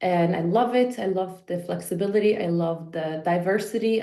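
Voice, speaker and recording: A woman with a Polish accent talks with ordinary pitch variation, and the room echo is audible. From Poland. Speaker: fitness and life coach. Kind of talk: podcast interview.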